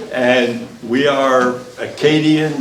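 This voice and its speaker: Speech from a man amid noticeable background noise and audible room echo. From northern Maine, St. John Valley. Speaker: former state legislator. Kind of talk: commemorative speech.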